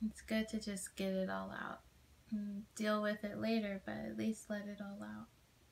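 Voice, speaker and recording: Soft-spoken with a gentle, warm tone, a woman talks over light background noise. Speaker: ASMR creator. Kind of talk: asmr comfort roleplay, soothing friend talking a tired listener toward sleep. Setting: video call roleplay. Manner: soft, gentle, slow and nurturing, with warm pauses and small laughs; sleepy hushed tone, intimate and reassuring. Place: home room. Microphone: phone near.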